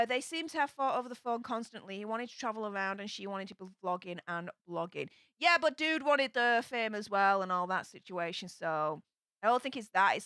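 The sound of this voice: A woman's fairly high, bright, sharp voice in a Yorkshire accent, fairly quick, with lively intonation and big swings in loudness. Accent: Yorkshire, northern English.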